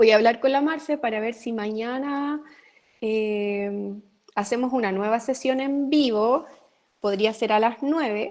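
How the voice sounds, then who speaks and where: A woman with an ordinary speaking voice, fairly high pitch, ordinary pitch variation, and a fairly slow pace. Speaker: university lecturer. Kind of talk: online lecture. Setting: live video session.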